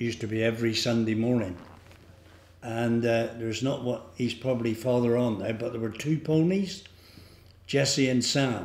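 A man at a moderate pace, with audible room echo. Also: ordinary pitch variation. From England, North Devon (Barnstaple). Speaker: local elder sharing memories. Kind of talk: oral history reminiscence. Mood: relaxed, fond reminiscing. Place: hall.

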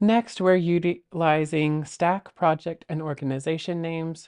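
A woman speaks in a dark, mellow tone. The background is quiet. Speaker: presenter. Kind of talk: tutorial. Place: home room.

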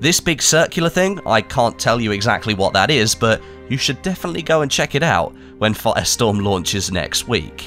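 A man talks at a fairly quick pace with very wide pitch swings and very even loudness, music playing in the background. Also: medium pitch for a man. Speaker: gaming YouTuber. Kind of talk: gaming news commentary.

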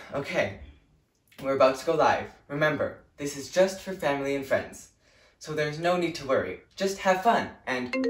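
A man speaks at a moderate pace with ordinary pitch variation and big swings in loudness, with music in the background and audible room echo. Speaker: actor playing a show director. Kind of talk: scripted comedic monologue. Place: home room. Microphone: camera far.

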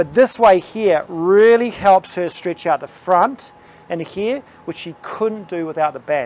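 A man's high voice in a dry sound with no echo. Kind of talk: tutorial. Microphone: lapel.

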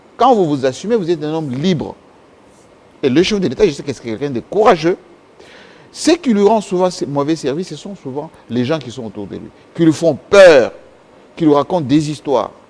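At a moderate pace, this voice uses lively intonation, swings widely in loudness and breaks off into long, frequent pauses. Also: man, fairly high pitch for a man. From DR Congo, Kasai region; DR Congo. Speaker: political commentator; guest. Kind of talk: interview; interview answer. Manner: halting. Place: studio. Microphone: lapel.

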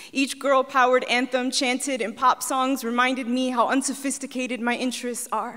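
A high-pitched woman talks at a fairly quick pace in a monotone, flat way. She hardly pauses, and the background is quiet. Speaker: poet. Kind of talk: spoken word poetry performance. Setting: stage with audience. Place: stage. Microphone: handheld.

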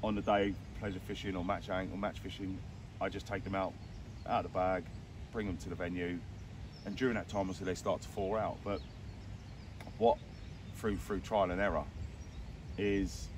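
A man's very deep, low voice at a moderate pace, with long, frequent pauses, a dry sound with no echo, and noticeable background noise. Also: fairly even intonation. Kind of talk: interview answer. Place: waterside.

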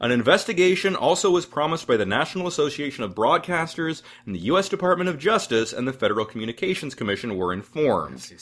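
The speaker races at a very fast pace with hardly any pauses. Very wide pitch swings mix with vocal fry. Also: man, fairly high pitch for a man. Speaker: podcast host. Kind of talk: casual interview chat.

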